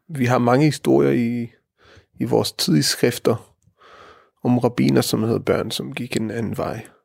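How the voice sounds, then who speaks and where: A man's medium-pitched voice at a fairly slow pace, with very wide pitch swings and long, frequent pauses. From Israel. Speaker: rabbi. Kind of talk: interview. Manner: halting, many fillers.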